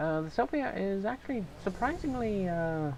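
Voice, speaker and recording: The speech is mumbled. It moves at a moderate pace. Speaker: let's play gamer. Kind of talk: casual gameplay commentary. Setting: low-quality home mic. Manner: mumbling.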